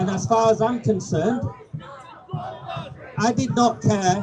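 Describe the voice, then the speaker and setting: A man talks at a fairly slow pace. Crowd noise can be heard behind him. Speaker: campaigner, ex-serviceman. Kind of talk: public speech. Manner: quiet-spoken.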